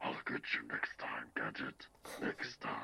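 Someone uses a raspy, put-on character voice at a fairly slow pace. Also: man. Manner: menacing, vengeful.

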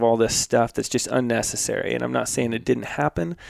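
A man with an ordinary speaking voice and a medium pitch talks at a fairly quick pace, the sound dry and close with no echo. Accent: American. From rural US West. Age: 30s. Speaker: hunting filmmaker. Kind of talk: casual chat. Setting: studio.

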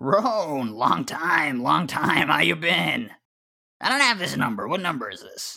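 A man's put-on character voice, raspy and fairly high-pitched, at a fairly slow pace with big swings in loudness. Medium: actual play.

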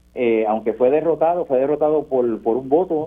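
A man speaks in a plain, everyday voice at medium pitch, with ordinary pitch variation and a fairly quick pace. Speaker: senator. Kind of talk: radio interview.

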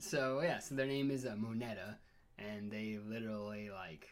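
Fairly low and fairly slow, a man talks with fairly even intonation. It is a plain, everyday voice. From Washington State, Everett near Seattle. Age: 30s. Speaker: podcast guest. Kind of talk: casual chat. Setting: in person.

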